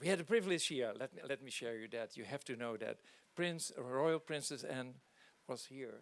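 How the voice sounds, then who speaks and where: A man with a non-native accent speaks in a medium pitch with ordinary pitch variation. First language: not English. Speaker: charity leader. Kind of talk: welcome speech. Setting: on board hospital ship, event with audience. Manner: halting.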